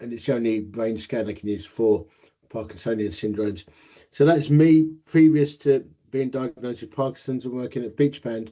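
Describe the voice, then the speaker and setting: A man with an Essex accent speaks in a dark, mellow tone. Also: medium pitch for a man, ordinary pitch variation, moderate pace. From Essex, England. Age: 50s. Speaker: inventor with Parkinson's. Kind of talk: interview. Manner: slight slurring, voice may soften.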